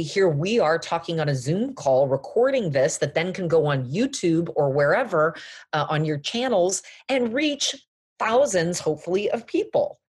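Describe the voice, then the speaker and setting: Somewhat breathy, a woman with an American accent talks at a moderate pace over a quiet background, her pitch swinging very widely. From Los Angeles, US. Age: 40s. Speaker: fashion brand founder. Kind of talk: interview.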